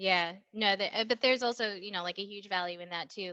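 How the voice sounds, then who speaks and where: Bright and sharp in tone, a woman's voice sits at medium pitch with ordinary pitch variation. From grew up overseas, born in Indonesia. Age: 30s. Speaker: cannabis industry process engineer. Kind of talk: casual interview chat.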